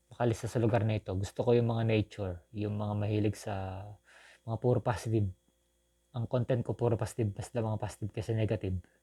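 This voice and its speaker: A man's very fast, monotone delivery, fairly low in pitch, dark and mellow in tone, with a dry, close sound and no echo. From Philippines, Southern Quezon. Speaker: vlogger. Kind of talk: personal appeal to viewers. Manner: halting, with repetitions.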